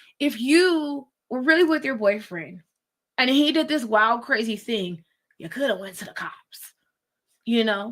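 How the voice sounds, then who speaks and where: A high-pitched woman at a fairly slow pace, with lively intonation, big swings in loudness and long, frequent pauses. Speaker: attorney and legal commentator. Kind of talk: live legal commentary stream. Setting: live stream watch-along. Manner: casual, conversational.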